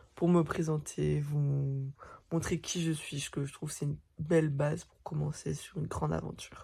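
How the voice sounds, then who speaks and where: A woman speaks with very deep, low pitch in a monotone, flat intonation, with a dark, mellow tone. Her voice is somewhat breathy, in a very clean recording with a silent background. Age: 20s. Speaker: vlogger. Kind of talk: casual vlog monologue.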